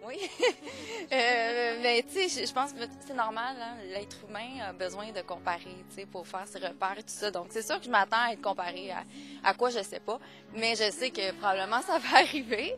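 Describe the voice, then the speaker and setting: At a moderate pace with ordinary pitch variation, the voice swings widely in loudness over music in the background. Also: woman, fairly high pitch for a woman. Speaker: singer-songwriter. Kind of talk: interview answer. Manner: casual, conversational.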